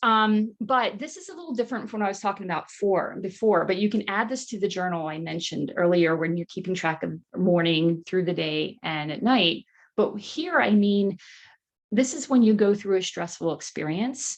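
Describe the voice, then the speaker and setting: This is a woman's voice at medium pitch. Her pitch variation is ordinary. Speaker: nutrition counselor and wellness coach. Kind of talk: online workshop presentation. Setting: live online workshop. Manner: fast.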